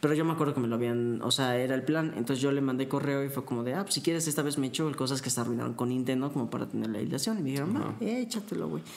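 A man talks at a very fast pace, with hardly any pauses, at a medium pitch. Noticeable background noise is present. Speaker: university student, aspiring voice actor. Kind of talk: casual chat.

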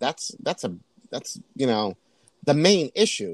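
Recorded in a dry, close sound with no echo, a man with an American accent speaks at fairly high pitch with very wide pitch swings. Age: 50s. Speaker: drag queen. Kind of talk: casual chat.

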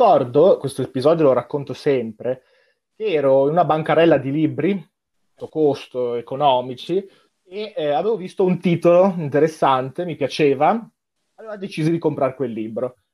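A man at a fairly high pitch, with lively intonation, a moderate pace and long, frequent pauses. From Como, Lombardy, Italy. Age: 20s. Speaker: literature student. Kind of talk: casual chat.

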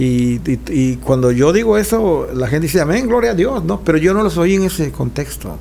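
A man at a moderate pace with hardly any pauses, amid noticeable background noise and audible room echo. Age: 60s. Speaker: pastor. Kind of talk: casual chat.

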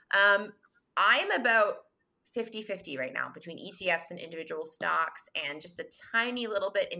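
In a western Canadian accent, the bright, sharp voice moves at a fairly slow pace with lively intonation and big swings in loudness. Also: woman. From Canada, Vancouver. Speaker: finance entrepreneur and author. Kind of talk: casual interview. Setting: remote podcast call.

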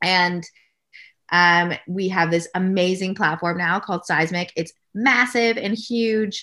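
On a very clean recording with a silent background, a woman speaks very slowly in a bright, sharp tone with ordinary pitch variation. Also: medium pitch for a woman. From Canada. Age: 30s. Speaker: nutrition company founder. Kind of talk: casual interview.

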